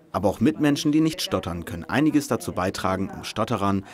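Over noticeable background noise, the speech moves at a fairly quick pace with lively intonation. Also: man. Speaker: news report narrator. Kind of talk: news report voice-over.

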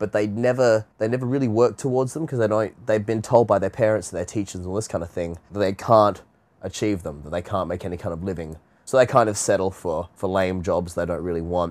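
A man with an Australian accent talks at a very fast pace, his fairly low pitch showing ordinary variation. The recording is very clean, with a silent background. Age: 20s. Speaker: voice actor. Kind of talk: interview answer.

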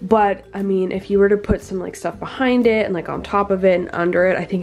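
With music playing behind her, a woman speaks at a fairly quick pace with a medium pitch and fairly even intonation. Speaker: reptile keeper vlogger. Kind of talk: casual video haul. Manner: casual, rambling with fillers.

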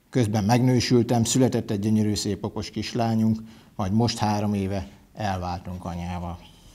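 Speaking at a moderate pace, a man has a fairly low pitch, a dark, mellow tone and fairly even intonation. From Hungary, Hajdúnánás; Hungary. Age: 40s. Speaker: parliamentary candidate; candidate. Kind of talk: campaign speech. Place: studio. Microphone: lapel.

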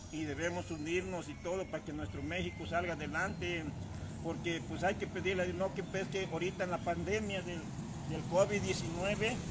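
A fairly slow pace under loud background noise. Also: man. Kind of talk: casual appeal to a live-stream audience. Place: street. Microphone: phone near.

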